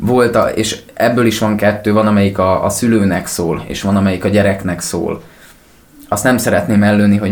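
Spoken at a moderate pace with fairly even intonation, the clip has audible room echo and noticeable background noise. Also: man. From Sopron, western Hungary. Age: 20s. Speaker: rock singer. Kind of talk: interview.

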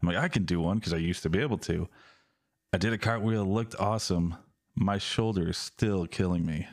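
In a normal speaking voice, a man talks at a fairly quick pace with a fairly low pitch. His pitch variation is ordinary and his loudness very even. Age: 30s. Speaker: podcast co-host. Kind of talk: casual chat.

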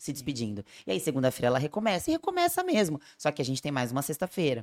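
The speech comes at a very fast pace. It is a very clean recording with a silent background and a dry, close sound with no echo. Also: woman. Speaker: nutritionist and podcast host. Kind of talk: casual chat.

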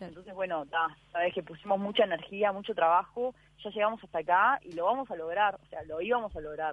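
A woman with a normal speaking voice talks at a fairly quick pace and medium pitch. Her pitch varies in an ordinary way, while her loudness swings widely. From Uruguay. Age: 20s. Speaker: ocean rower. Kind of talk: interview.

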